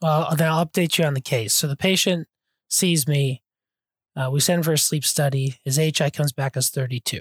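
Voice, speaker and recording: Somewhat breathy and fairly high-pitched, a man talks at a fairly quick pace with fairly even intonation, in a dry, close sound with no echo on a very clean recording with a silent background. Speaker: sleep physician podcast co-host. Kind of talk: casual interview chat.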